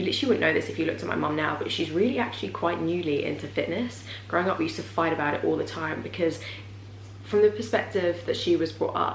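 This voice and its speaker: A woman at a very fast pace, with light background noise and audible room echo. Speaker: vlogger. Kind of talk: casual vlog chat. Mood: warm and reflective. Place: home room. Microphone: camera far.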